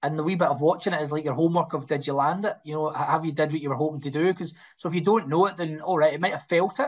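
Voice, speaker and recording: In a Scottish accent, a man talks at a very fast pace with hardly any pauses, a fairly high pitch and fairly even intonation. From Scotland. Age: 40s. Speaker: actor. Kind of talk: interview. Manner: halting.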